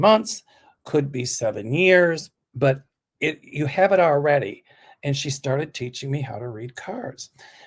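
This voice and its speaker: Fairly high in pitch and somewhat breathy, a man delivers his words at a fairly slow pace with lively intonation. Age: 70s. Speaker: psychic reader. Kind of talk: casual chat.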